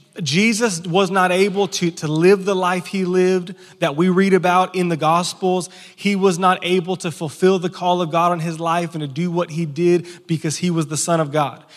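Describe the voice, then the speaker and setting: At a moderate pace, a man with a high pitch speaks in a monotone, flat intonation. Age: 30s. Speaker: pastor. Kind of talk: Sunday morning sermon to a live church congregation, conversational teaching style. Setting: church service before an audience. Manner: frequent stammered word repeats and restarts, informal and earnest.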